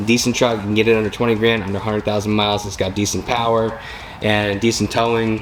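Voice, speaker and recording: A man rattles off his words at a very fast pace with noticeable background noise behind him. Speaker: YouTuber reviewing used trucks. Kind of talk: casual video talk to camera. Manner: casual, filler-heavy.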